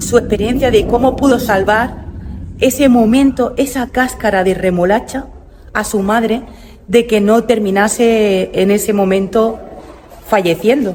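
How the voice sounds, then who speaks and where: Amid noticeable background noise, a woman speaks at a fairly slow pace with long, frequent pauses and ordinary pitch variation. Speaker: travel vlogger. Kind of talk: guided museum tour vlog. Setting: inside a museum. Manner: halting, with fillers and false starts.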